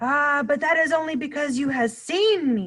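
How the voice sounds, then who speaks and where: A woman's raised, projected, put-on character voice at a high pitch. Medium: read story. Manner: mangled grammar, playful made-up words.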